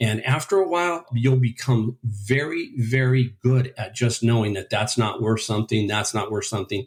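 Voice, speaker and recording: Somewhat breathy, a man talks at a moderate pace with hardly any pauses and ordinary pitch variation. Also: medium pitch for a man. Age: 60s. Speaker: eBay reseller, retired furniture store owner. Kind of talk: interview.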